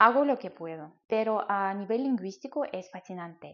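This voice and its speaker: A woman with a Russian accent speaks at a moderate pace. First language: Russian (speaking Spanish). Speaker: language-learning YouTuber. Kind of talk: educational explainer.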